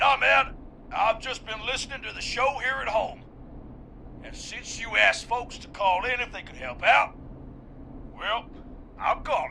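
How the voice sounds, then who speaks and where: In a put-on character voice with an extremely high pitch, a man drawls at a moderate pace with lively intonation. Long, frequent pauses break up his speech, and clear background noise is present. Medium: video game. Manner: casual, drawling, says "man" a lot.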